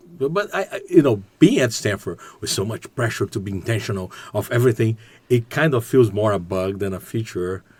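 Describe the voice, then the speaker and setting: A man's somewhat breathy voice in a Portuguese accent, at a fairly quick pace with ordinary pitch variation. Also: medium pitch for a man. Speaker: business executive and graduate student. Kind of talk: podcast interview. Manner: halting.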